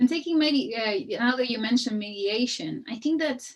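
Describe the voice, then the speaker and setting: A woman talks at a moderate pace, her pitch showing ordinary variation. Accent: Spanish. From Chile. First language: Spanish. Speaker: architect and researcher. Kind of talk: panel discussion. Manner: hesitant, many fillers.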